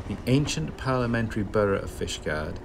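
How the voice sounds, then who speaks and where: A man at a moderate pace with lively intonation, plus noticeable background noise. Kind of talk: travel commentary. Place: motorbike. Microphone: helmet.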